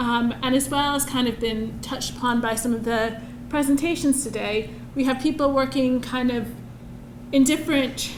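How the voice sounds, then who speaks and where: Through noticeable background noise and audible room echo, a woman speaks at a high pitch with fairly even intonation. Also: moderate pace. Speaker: researcher. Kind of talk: conference presentation.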